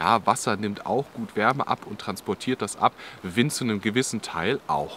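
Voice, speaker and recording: Against light background noise, a man talks at a moderate pace in a dry sound with no echo. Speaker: outdoor channel host. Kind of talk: tutorial. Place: forest.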